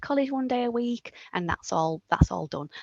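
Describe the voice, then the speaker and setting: A woman is heard with a dry, close sound with no echo. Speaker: apprenticeship advisor. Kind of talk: webinar presentation. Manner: fast; hesitant, many fillers.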